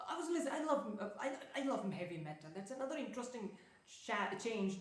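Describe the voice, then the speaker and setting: A woman talks at a fairly quick pace through noticeable background noise and audible room echo. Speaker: productivity and self-development vlogger. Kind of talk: casual vlog monologue. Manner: fast talker by habit; hesitant, many fillers and restarts.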